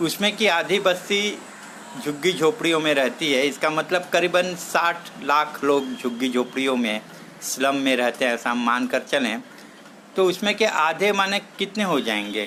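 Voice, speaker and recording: A man with a Marathi accent, fairly high in pitch, with very wide pitch swings over noticeable background noise. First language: Marathi (speaking Hindi). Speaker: social activist speaker. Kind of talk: talk.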